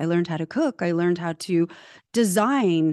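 A woman with a plain, everyday voice and an American accent speaks at a fairly quick pace with lively intonation, the sound dry and close with no echo over a quiet background. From California. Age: 40s. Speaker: personal branding coach. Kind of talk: interview.

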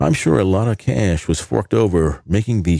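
Lively intonation carries a dark, mellow tone at a moderate pace. The recording is very clean with a silent background, and the sound is dry and close with no echo. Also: man. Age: old. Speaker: podcast host. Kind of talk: scripted narration.

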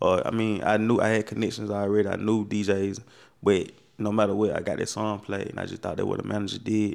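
A man's fairly low, monotone, flat voice on a very clean recording with a silent background. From US South, Macon, Georgia. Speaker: podcast co-host and DJ. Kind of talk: casual chat.

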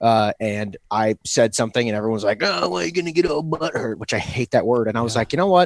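Speaking at a very fast pace with hardly any pauses, a man with a medium-pitched voice uses lively intonation in a dry, close sound with no echo. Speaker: podcast co-host. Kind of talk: casual chat.

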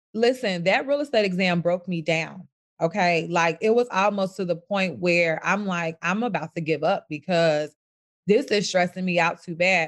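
An ordinary speaking voice with an American accent, moderate pace and ordinary pitch variation, over a quiet background. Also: woman. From US Midwest, south side of Chicago. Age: 20s. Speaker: real estate broker. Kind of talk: interview.

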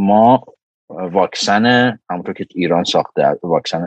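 Very slow delivery with ordinary pitch variation and a dry, close sound with no echo. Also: man. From Iran. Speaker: microbiology professor and lab director. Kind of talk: casual interview chat.

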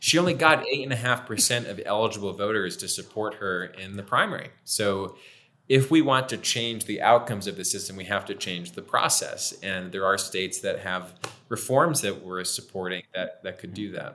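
A man with an American accent speaks at a moderate pace in a bright, sharp tone and a fairly low pitch. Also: ordinary pitch variation, big swings in loudness. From Pennsylvania, US. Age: 30s. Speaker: political reform advocate. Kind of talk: interview. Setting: video call.

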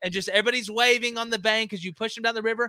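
This man speaks in a raised, projected voice with an American accent, his tone bright, sharp and animated. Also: dry, close sound with no echo. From Alabama, US South. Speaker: college football podcast host. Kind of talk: casual sports talk. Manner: animated, halting with many fillers.

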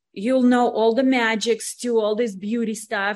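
Her pitch is fairly high, and this woman keeps a moderate pace. The recording is very clean, with a silent background. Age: 40s. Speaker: spa business owner and author. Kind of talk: interview.

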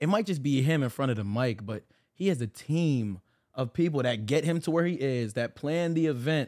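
A man speaks at a fairly quick pace with very wide pitch swings. The recording is very clean, with a silent background. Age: 20s. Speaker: church worship singer and youth Bible study leader. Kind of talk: casual chat.

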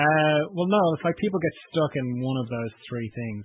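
A man talks at a moderate pace with an Irish accent. His pitch varies in an ordinary way. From Ireland. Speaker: podcast host. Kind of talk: interview.

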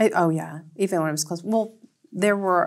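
A woman with an American accent and ordinary pitch variation in a very clean recording with a silent background. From US South, northwest Georgia. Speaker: library director. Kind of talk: interview. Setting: studio.

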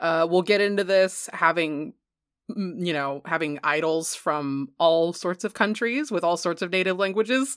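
In a very clean recording with a silent background, a woman with an unremarkable speaking voice talks at a moderate pace and a fairly low pitch, with ordinary pitch variation. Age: 30s. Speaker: podcast co-host. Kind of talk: casual chat. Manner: laughs often.

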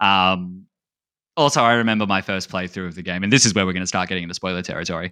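With an Australian accent, a man speaks very fast in a very deep, low pitch with a bright, sharp tone, on a very clean recording with a silent background. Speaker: speedrunner and streamer. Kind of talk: casual chat.

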